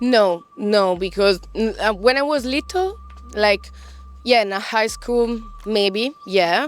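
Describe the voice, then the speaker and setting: Noticeable background noise sits behind a woman with a fairly high pitch and a non-native accent, who speaks at a very slow pace with ordinary pitch variation. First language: not English. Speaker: interviewee. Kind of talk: interview. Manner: halting.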